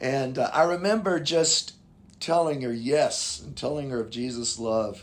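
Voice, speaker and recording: A man speaks in an unremarkable speaking voice at a fairly high pitch. His pace is fairly slow and his intonation is lively. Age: 60s. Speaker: pastor. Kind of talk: casual interview.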